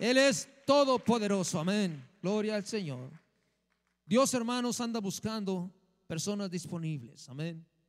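Over a quiet background, a man with a high pitch talks at a fairly slow pace in an animated tone, using lively intonation and long, frequent pauses. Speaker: minister. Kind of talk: sermon. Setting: church. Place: church. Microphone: handheld.

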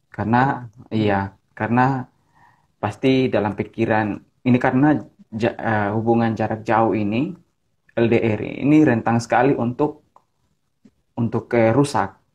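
Against a quiet background, a man talks at a fairly slow pace and a medium pitch. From Ambon, Maluku, Indonesia. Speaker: pastor. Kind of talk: casual chat. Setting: video call. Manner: energetic. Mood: relaxed, smiling. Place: home room. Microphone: earbuds.

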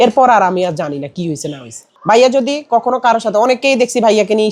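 A man speaks with lively intonation. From Bangladesh, Noakhali. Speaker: content creator team member. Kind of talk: interview.

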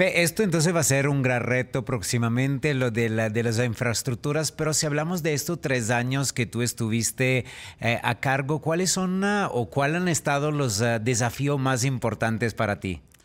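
Hardly pausing at all, a man with a non-native accent talks at a moderate pace with lively intonation and very even loudness. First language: not Spanish (speaking Spanish). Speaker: co-host; show host. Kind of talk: casual chat. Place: studio. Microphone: studio mic.

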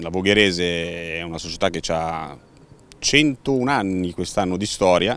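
Dry and with no echo, a man's voice sits at a very deep, low pitch. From Milan, northern Italy. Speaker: football club president. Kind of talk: interview. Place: stadium. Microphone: handheld.

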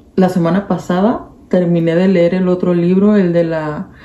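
With audible room echo, a woman talks at a fairly slow pace. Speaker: vlogger. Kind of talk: casual vlog chat. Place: home room. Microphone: phone near.

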